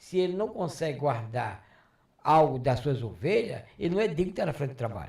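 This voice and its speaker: Speaking at a fairly quick pace, a man with a fairly high pitch and vocal fry makes very wide pitch swings. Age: 70s. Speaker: retired pastor. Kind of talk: interview.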